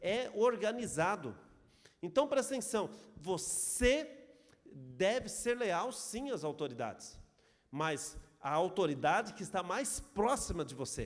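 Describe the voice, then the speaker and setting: Audible room echo surrounds a man who speaks in a high pitch with very wide pitch swings, at a fairly slow pace with long, frequent pauses. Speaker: pastor. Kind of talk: sermon.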